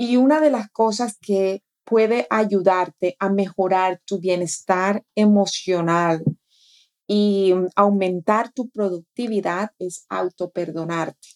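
A woman speaks very slowly at a medium pitch with ordinary pitch variation, in a dry, close sound with no echo. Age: 40s. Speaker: life coach and podcast co-host. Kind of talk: casual chat.

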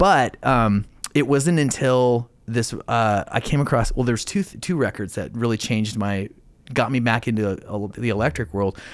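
A man with an ordinary speaking voice talks at medium pitch and a moderate pace, with ordinary pitch variation, in a very clean recording with a silent background. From Idaho, US. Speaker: podcast host. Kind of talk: casual interview chat. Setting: studio.

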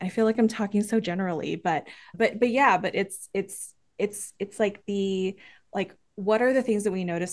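A woman speaks at a moderate pace in a medium pitch with ordinary pitch variation. The background is quiet. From Filipino-American, US. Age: middle-aged. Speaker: theater company member. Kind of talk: casual interview chat. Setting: video call. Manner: halting, many repetitions.

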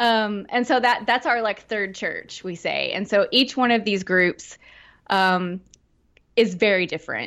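Against a quiet background, a woman with a Southern US accent speaks at a fairly slow pace and fairly high pitch, with ordinary pitch variation. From Arkansas, Fort Smith area. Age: 30s. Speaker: horror podcaster. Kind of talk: casual chat.

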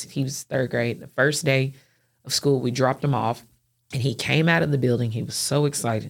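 With vocal fry and a very deep, low pitch, a woman talks at a moderate pace with ordinary pitch variation on a very clean recording with a silent background. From Clarksville, Tennessee. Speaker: nonprofit executive. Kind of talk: interview conversation.

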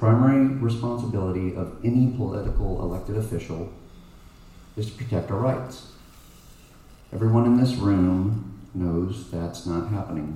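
A man talks with an American accent amid noticeable background noise and audible room echo. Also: fairly low pitch for a man, ordinary pitch variation, moderate pace. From Texas, Plano. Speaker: congressional candidate. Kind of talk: campaign speech.

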